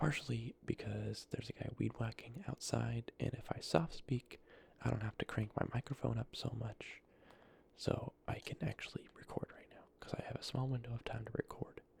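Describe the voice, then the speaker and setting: Someone whispers at a moderate pace. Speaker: ASMR creator and gamer. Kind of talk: soft-spoken ASMR gameplay talk. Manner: soft-spoken.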